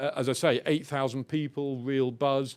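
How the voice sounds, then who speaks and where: A fairly high male voice with an English accent at a moderate pace, on a very clean recording with a silent background. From England. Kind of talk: panel discussion.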